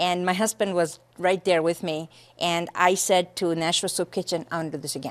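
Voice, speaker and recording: Her pitch fairly low, a woman speaks at a moderate pace in a monotone, flat intonation. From India, then raised in Lowell, Massachusetts from age twelve. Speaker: charity founder. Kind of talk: interview.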